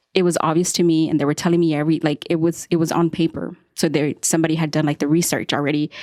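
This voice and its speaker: A woman talks at a very fast pace in a very deep, low voice with a dark, mellow tone. Her loudness stays very even, and the sound is dry and close with no echo. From United States, Mexican-American family. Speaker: podcast host. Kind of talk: casual interview conversation. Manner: animated, halting with many restarts.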